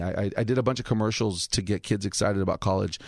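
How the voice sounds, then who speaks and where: With an American accent and an ordinary speaking voice, a man talks at a fairly quick pace, his fairly low pitch showing ordinary variation, on a very clean recording with a silent background and dry, close sound with no echo. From Los Angeles (Highland Park, Alhambra). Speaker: comedian. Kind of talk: casual chat.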